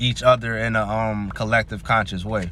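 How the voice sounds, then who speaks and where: An American-accented man speaks at a moderate pace and medium pitch in an animated tone. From US South. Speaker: astrology and tarot youtuber. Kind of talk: casual tarot reading monologue. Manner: casual, slangy, animated.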